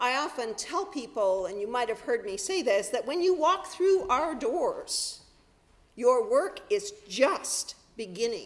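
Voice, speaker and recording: The voice moves at a fairly slow pace with very wide pitch swings against noticeable background noise. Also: woman, high pitch for a woman. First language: sign language. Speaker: minister. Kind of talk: sermon. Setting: church.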